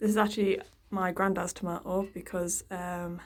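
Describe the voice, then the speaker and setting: A woman speaks quietly with an English accent. Her pace is moderate. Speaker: gardening vlogger. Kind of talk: casual garden tour vlog. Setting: outdoors in garden and greenhouse.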